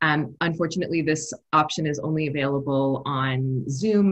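A woman's somewhat breathy voice with ordinary pitch variation, against a quiet background. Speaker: webinar host. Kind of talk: webinar opening remarks. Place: home room. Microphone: earbuds.

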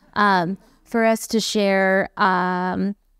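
A woman talks very slowly at a medium pitch, her tone clear, smooth and fairly bright, with little pitch movement. The recording is very clean, with a silent background and a dry, close sound with no echo.

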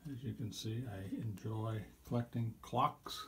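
A somewhat breathy man's voice at medium pitch, with fairly even intonation. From Iowa. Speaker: pastor. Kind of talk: home tour narration. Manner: casual.

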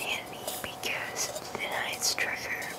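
A man whispering at a very slow pace. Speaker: ASMR creator. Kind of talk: ASMR talk to camera. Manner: soft-spoken, whispery. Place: home room. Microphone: studio mic.

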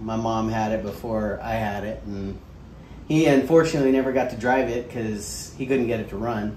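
A man at a moderate pace with ordinary pitch variation, light background noise and audible room echo. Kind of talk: casual explanation to family. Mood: relaxed, smiling. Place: garage.

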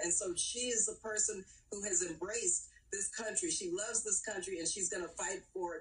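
Somewhat breathy, a woman speaks at a fairly quick pace with very wide pitch swings over light background noise. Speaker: politician as remote guest. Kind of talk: interview answer. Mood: joyful, proud. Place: home room. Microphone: video call.

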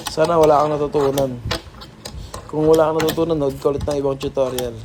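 Delivered at a very fast pace, the speech has long, frequent pauses and noticeable background noise. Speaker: hobby video creator. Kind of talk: tutorial. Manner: halting; casual, improvised.

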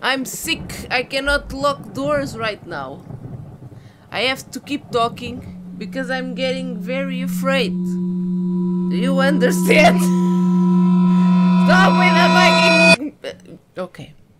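A woman talks at a very slow pace. Loud background noise runs behind her. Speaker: gamer. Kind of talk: let's play commentary. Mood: nervous, scared, laughing.

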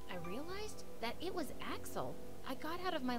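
A woman talks with clear music playing in the background. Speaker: reaction narrator. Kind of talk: story narration. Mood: amused, laughing at times. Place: home room. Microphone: studio mic.

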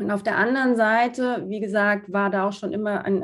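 Over a quiet background, a woman speaks with fairly even intonation. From southern Germany, small town. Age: 30s. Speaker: fashion designer and founder; podcast guest. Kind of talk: interview. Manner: hesitant with many fillers. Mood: calm, thoughtful. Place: home room. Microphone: video call.

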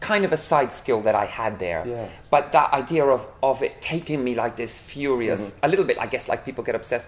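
A man talks at a fairly quick pace with lively intonation and hardly any pauses. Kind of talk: interview answer.

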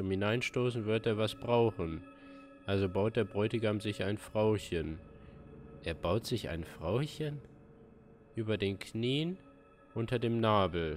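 With faint music in the background, a man speaks at a very slow pace with a fairly low pitch and ordinary pitch variation. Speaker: gamer streamer. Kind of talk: game commentary, reading aloud. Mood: puzzled, thoughtful.

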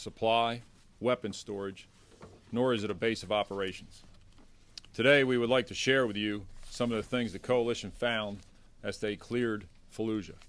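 A man's fairly quick speech with fairly even intonation. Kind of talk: press briefing statement. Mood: formal, measured. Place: hall. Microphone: podium.

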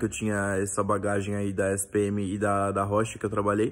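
A man with a fairly low pitch is heard on a very clean recording against a silent background. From São Paulo, Brazil. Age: 20s. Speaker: recent marketing graduate. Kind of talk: self-introduction video. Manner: frequent fillers and hesitations.

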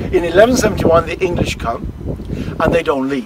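With an Irish accent, a man talks at a moderate pace in a dry sound with no echo, against loud background noise. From Ireland. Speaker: tour guide. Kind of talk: live interactive history storytelling to a tour group, casting visitors as characters. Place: open country. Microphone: phone near.

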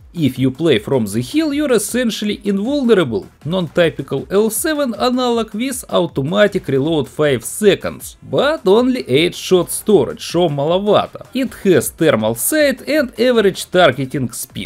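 Over music in the background, a man with a strong Slavic accent and a high pitch swings his pitch very widely, with hardly any pauses. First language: Russian. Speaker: video game reviewer. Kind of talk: quick video game vehicle review.

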